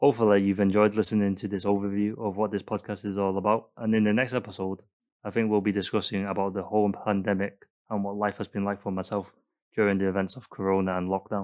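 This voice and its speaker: A man with a Mancunian accent rattles on at a very fast pace, his fairly low pitch flat and monotone, against a quiet background. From Manchester, England. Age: 20s. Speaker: student podcaster. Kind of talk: solo podcast monologue.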